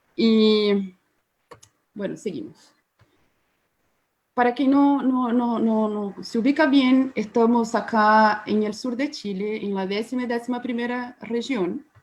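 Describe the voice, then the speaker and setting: A woman with a Brazilian accent talks at a very slow pace with long, frequent pauses, her fairly high voice keeping fairly even intonation. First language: Portuguese (speaking Spanish). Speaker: biologist. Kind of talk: webinar presentation. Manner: halting.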